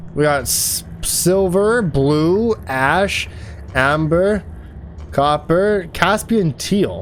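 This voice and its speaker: Over noticeable background noise, a man speaks very slowly in a fairly high voice with ordinary pitch variation. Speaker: gaming streamer. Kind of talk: let's play commentary. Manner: loud; animated.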